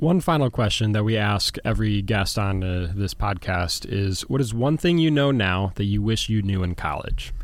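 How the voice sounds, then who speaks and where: With a plain, everyday voice, a man speaks at a moderate pace and fairly low pitch, with lively intonation, very even loudness and hardly any pauses. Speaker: college student interviewer. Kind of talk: interview questions.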